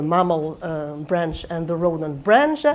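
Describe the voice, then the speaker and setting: Spoken in a French accent at a fairly slow pace, the delivery shows ordinary pitch variation. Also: woman. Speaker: computational biology professor. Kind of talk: lecture. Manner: halting, many fillers and restarts.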